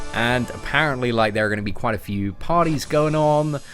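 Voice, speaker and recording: Over noticeable background noise, a man with an English accent speaks at a moderate pace in a fairly high voice. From England. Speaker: streamer reading chat. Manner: casual, friendly.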